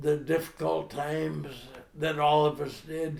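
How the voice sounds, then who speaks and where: With an American accent, a man speaks at a very slow pace in a fairly high pitch. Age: 80s+. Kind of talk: oral history interview answer.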